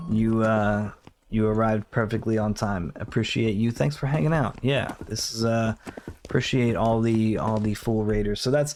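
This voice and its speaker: A soft-spoken man talks at a moderate pace and medium pitch, with ordinary pitch variation, very even loudness and noticeable background noise. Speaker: game developer streamer. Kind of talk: casual livestream chat. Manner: halting.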